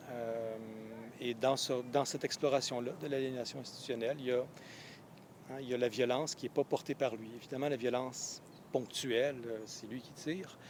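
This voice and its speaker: A man's medium-pitched, monotone voice with flat intonation at a fairly quick pace. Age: 40s. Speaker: professor and novelist. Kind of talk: interview. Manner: halting, many hesitations.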